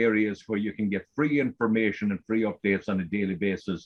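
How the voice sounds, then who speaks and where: The speaker has an Irish accent. Pitch variation is ordinary. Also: man. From Ireland. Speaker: forum member asking questions on a call-in show. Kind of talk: casual call-in discussion.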